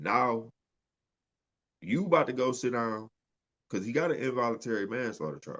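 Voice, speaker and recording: Medium-pitched man with vocal fry, moderate pace and long, frequent pauses. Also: lively intonation. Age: 30s. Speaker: podcast co-host. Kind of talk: casual chat.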